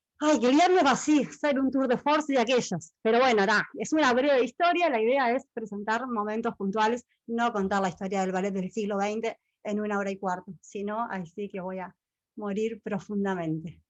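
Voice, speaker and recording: The pace is moderate. Pitch swings very widely. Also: woman. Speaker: ballet history lecturer. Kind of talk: online lecture.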